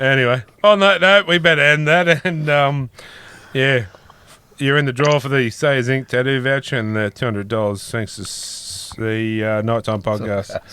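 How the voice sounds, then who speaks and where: At a moderate pace, a man speaks in a medium pitch with an Australian accent. His intonation is lively. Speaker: podcast host. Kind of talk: casual chat.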